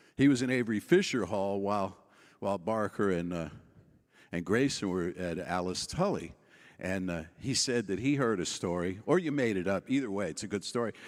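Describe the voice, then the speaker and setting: A normal speaking voice from a man with an American accent, fairly low in pitch with ordinary variation, at a fairly quick pace, in a very clean recording with a silent background. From New York City. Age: 60s. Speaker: keynote speaker, minister. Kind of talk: keynote speech.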